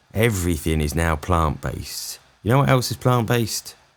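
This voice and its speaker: A man with a British accent, lively intonation and a moderate pace. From England. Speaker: comedian. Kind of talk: comedic rant to camera. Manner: sarcastic, exasperated.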